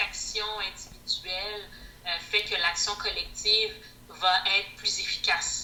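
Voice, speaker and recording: With long, frequent pauses, a woman talks very slowly as noticeable noise sits in the background. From Quebec. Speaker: microbiology teacher. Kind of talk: interview answer.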